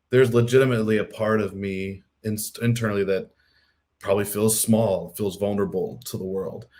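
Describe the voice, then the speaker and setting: A man with an American accent has a normal speaking voice. He talks at a fairly low pitch and a fairly quick pace. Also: fairly even intonation. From US Midwest, Missouri. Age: 30s. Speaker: podcast host. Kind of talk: casual chat.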